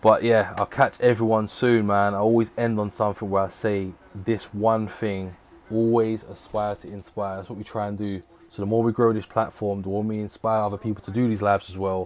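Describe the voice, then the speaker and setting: A man talks at a fairly quick pace with a fairly low pitch. His intonation stays flat and monotone. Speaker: boxing watchalong streamer. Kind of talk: live stream commentary and recap. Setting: live stream. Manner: stumbling at times.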